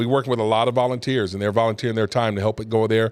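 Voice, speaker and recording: The recording is very clean, with a silent background and a dry, close sound with no echo. A man speaks in a monotone, flat intonation. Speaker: pastor and talk show host. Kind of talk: casual show talk. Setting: studio. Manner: fast.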